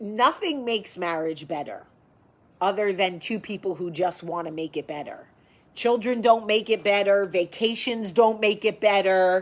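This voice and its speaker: On a very clean recording with a silent background, the speaker uses a strong New Jersey accent, an animated tone, a moderate pace and ordinary pitch variation. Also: woman, medium pitch for a woman. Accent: thick New Jersey. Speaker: vlogger. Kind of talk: casual chat. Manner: loud.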